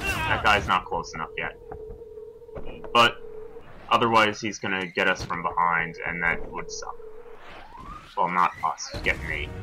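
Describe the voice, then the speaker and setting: Noticeable background noise runs under a man's voice. He speaks with long, frequent pauses. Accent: American. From New York. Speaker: let's play player. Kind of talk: casual gameplay commentary.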